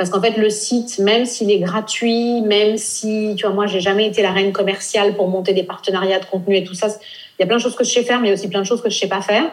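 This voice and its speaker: Very fast, flat, monotone speech from a woman at medium pitch, with hardly any pauses. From France, raised in Nice. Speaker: blogger and travel entrepreneur. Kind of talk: interview.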